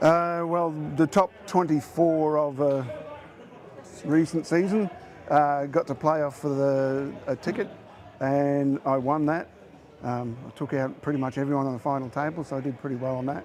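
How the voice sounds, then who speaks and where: A man's fairly high voice with an Australian accent, at a moderate pace with fairly even intonation, long, frequent pauses and noticeable background noise. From Queensland, Australia. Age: 60s. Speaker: poker player. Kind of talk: interview.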